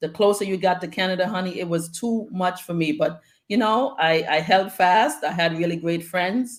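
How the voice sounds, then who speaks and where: A woman with an American accent has an ordinary speaking voice and ordinary pitch variation. She keeps a moderate pace with hardly any pauses. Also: medium pitch for a woman. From Antigua, then South Bronx, New York City. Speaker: guest speaker. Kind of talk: casual interview chat.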